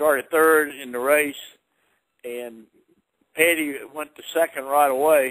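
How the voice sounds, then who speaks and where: The delivery is fairly slow and monotone, with flat intonation, long and frequent pauses, and big swings in loudness. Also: man, fairly high pitch for a man. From Virginia. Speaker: retired NASCAR driver. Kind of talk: interview answer.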